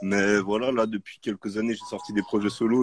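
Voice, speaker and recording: A man's voice over music in the background. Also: dry, close sound with no echo. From Geneva, Switzerland. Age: 30s. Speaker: rapper. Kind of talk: casual chat.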